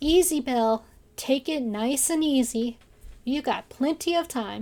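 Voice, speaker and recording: A woman puts on a high-pitched character voice and speaks at a moderate pace. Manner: soothing.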